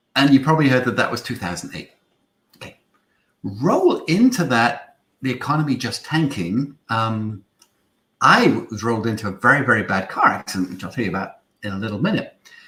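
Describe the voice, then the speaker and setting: Speaking with a British accent, a man has a medium pitch and a bright, sharp tone. His intonation is lively, and his loudness swings widely. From Isle of Man. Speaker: marketing agency founder. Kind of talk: webinar talk. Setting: online livestream.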